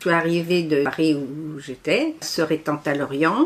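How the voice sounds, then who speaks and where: The pitch of this woman's voice is very deep and low. She talks fairly slowly, keeping her intonation fairly even. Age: 80s+. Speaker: association volunteer representative. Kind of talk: interview. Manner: hesitant.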